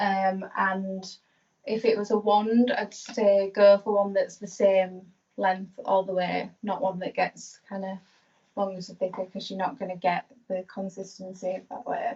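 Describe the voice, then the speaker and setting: Somewhat breathy and in a Yorkshire accent, a woman speaks at a fairly slow pace with a medium pitch and fairly even intonation. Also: big swings in loudness. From Yorkshire, northern England. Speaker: hairstylist. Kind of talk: live tutorial demonstration. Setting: live stream.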